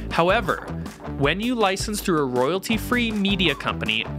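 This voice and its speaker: A man at a moderate pace with music in the background. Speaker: video host. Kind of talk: tutorial. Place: studio. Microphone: studio mic.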